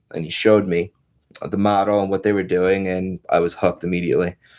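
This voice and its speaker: In a very clean recording with a silent background, a man speaks with a New York accent. His pitch is fairly low and his intonation monotone and flat. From New York (Long Island). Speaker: real estate agent and investor. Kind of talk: podcast interview.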